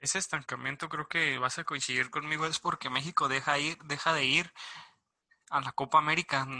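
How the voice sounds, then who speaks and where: A man with a fairly high pitch speaks quickly in a bright, sharp tone and a monotone, flat intonation. The sound is dry and close with no echo, over a quiet background. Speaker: sports podcast host. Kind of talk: casual chat.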